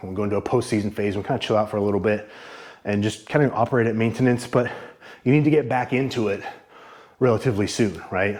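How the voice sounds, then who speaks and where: A man's very fast speech with fairly even intonation, broken by long, frequent pauses. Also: medium pitch for a man. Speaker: fitness vlogger. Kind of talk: casual workout vlog talk. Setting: home garage gym. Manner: halting, out of breath while lifting.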